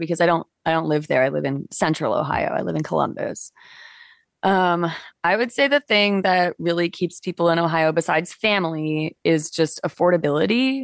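A woman with a fairly low pitch speaks at a moderate pace with ordinary pitch variation, the sound dry and close with no echo over a quiet background. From Toronto, Canada. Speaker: musician. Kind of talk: casual chat.

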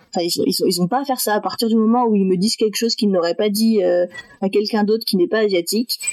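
Talking at a very fast pace, a woman uses a fairly high voice with ordinary pitch variation. Her loudness stays very even over noticeable background noise. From France, Metz (north-east). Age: 20s. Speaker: adoptee sharing her story. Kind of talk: testimony.

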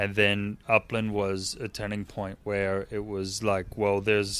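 A man speaks in a fairly low pitch. His pace is fairly slow. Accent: American. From US Midwest, northern Indiana near Chicago. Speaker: craft beer enthusiast. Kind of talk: casual interview chat.

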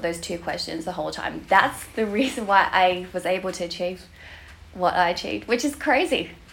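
With an Australian accent, a woman speaks at medium pitch and a moderate pace with ordinary pitch variation over noticeable background noise. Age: 30s. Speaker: bikini fitness competitor. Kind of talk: casual interview chat.

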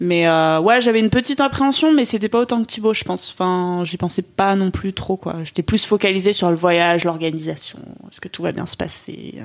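A woman with a normal speaking voice, a medium pitch, lively intonation and a fairly quick pace. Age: 20s. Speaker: journalism graduate. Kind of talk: interview.

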